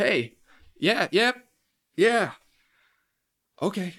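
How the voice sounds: Putting on a character voice, a man speaks at a very slow pace in a high pitch with a fairly bright tone, a slightly husky edge and big pitch swings. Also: very clean recording, silent background.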